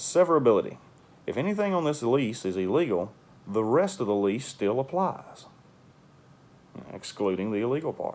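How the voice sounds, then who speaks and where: With a Southern US accent, a man talks at a moderate pace, taking long, frequent pauses and making very wide pitch swings. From US South. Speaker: real estate investor and landlord. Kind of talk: casual tutorial. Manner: casual, halting with fillers. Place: home room. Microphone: phone near.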